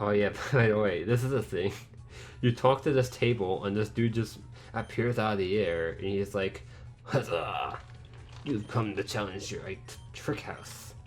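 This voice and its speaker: With music in the background, a man talks at a moderate pace in a fairly low pitch with ordinary pitch variation. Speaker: let's play gamer. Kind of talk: gameplay commentary. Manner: casual, rambling with self-corrections.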